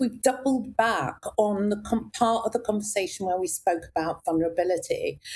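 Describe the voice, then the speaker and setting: On a very clean recording, a woman speaks against a silent background. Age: 60s. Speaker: executive coach. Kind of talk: casual interview chat. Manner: animated.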